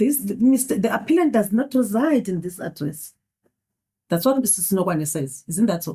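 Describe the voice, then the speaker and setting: With a non-native accent, a woman talks at a moderate pace in a medium pitch, her somewhat breathy voice carrying a dark, mellow tone and very wide pitch swings. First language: not English. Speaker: judge. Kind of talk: courtroom questioning. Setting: courtroom.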